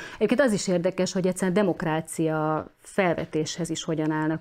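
A woman speaks with a fairly low voice. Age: 40s. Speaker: journalist. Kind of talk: interview. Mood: earnest, concerned. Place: studio.

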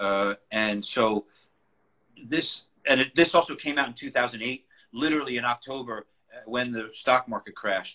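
Long, frequent pauses mark this man's speech, which has a bright, sharp tone and ordinary pitch variation. The background is quiet. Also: moderate pace. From New York City, Queens; New York. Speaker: collage artist. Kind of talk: casual interview. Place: home room. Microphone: video call.

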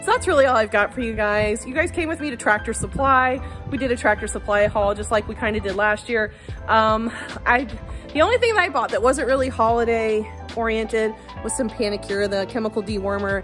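Clear music plays in the background. A woman talks at a fairly quick pace over it. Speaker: homesteader vlogger. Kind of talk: casual vlog chat. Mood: warm, upbeat. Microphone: phone near.

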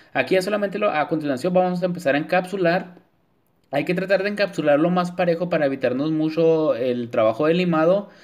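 Very fast and very even in loudness, a man speaks at a high pitch. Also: ordinary pitch variation. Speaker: nail artist. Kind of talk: tutorial. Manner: talks the same off camera, not a put-on voice.

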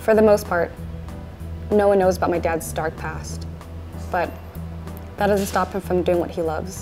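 Over clear background music, a woman talks at a moderate pace with long, frequent pauses. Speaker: author, daughter of the trainer. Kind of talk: documentary narration. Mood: reflective, admiring, soft. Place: gym.

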